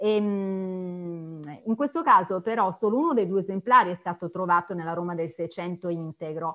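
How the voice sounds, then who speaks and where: Over a quiet background, a woman speaks at a moderate pace with hardly any pauses, her medium pitch showing ordinary variation. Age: 50s. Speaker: art historian lecturer. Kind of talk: lecture. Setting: video call. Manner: halting, many fillers and repetitions. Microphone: video call.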